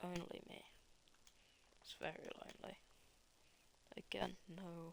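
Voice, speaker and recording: A woman whispering at a fairly slow pace. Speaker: sim racing commentator. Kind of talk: live commentary. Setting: live stream. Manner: halting.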